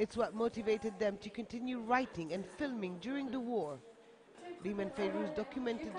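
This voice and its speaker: Moderate-paced speech over noticeable background noise. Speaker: TV news reporter. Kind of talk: TV news report narration.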